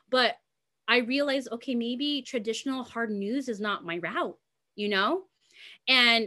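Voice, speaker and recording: Projecting a raised voice with a bright, sharp tone, a woman with an American accent speaks at a moderate pace. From US West Coast, Los Angeles. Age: 20s. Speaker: content creator and singer. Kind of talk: casual interview. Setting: video call.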